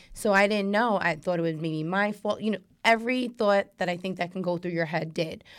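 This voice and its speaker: A woman with an American accent talks fairly quickly with hardly any pauses in an ordinary speaking voice of medium pitch and ordinary pitch variation, on a very clean recording with a silent background. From New York. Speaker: makeup artist and author. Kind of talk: casual chat.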